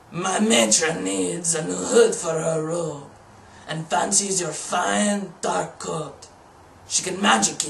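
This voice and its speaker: Someone speaks in a put-on character voice at a fairly slow pace. Clear background noise is present. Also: man, fairly high pitch for a man. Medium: read story. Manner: squawking.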